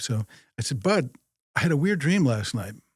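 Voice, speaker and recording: A man with an ordinary speaking voice talks at a medium pitch and a fairly quick pace, with lively intonation. The recording is very clean, with a silent background. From Minnesota, US Midwest. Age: 60s. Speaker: journeyman lineman, company president. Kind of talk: casual podcast interview. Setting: studio.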